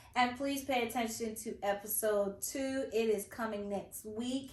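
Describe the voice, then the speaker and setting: Speaking fairly slowly, a woman with a high pitch uses ordinary pitch variation, and audible room echo surrounds her voice. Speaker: podcast host. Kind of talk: casual interview chat.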